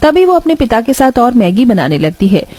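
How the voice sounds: A woman speaks at a moderate pace with lively intonation and a fairly high pitch. Her tone is dark and mellow, with a slightly husky edge.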